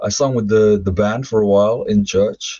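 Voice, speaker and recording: Against a quiet background, a man with a London accent is heard in a dry sound with no echo. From London, England (also Ireland). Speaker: former rap metal vocalist; podcast guest. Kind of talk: interview testimony. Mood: reflective storytelling. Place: home room. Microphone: webcam.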